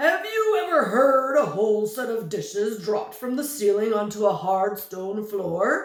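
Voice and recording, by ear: Putting on a character voice, a woman speaks at a fairly high pitch with lively intonation. She keeps a moderate pace with hardly any pauses, and a slight echo can be heard.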